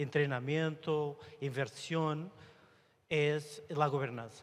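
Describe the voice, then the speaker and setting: A man with a Portuguese accent speaks very slowly, his fairly high voice showing ordinary pitch variation. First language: Portuguese (speaking Spanish). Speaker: IT director at a telecom company. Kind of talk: panel discussion.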